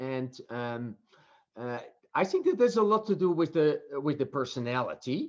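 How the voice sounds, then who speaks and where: A man speaks with very wide pitch swings. The background is quiet. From Netherlands. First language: Dutch. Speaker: professor. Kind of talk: interview. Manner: halting.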